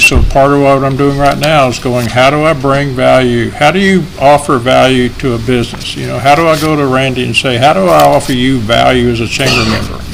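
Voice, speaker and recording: A man with a medium-pitched voice talks at a fairly quick pace, with noticeable background noise and audible room echo. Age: 70s. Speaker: chamber of commerce director presenting to council. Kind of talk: public meeting presentation. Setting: city council meeting. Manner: conversational.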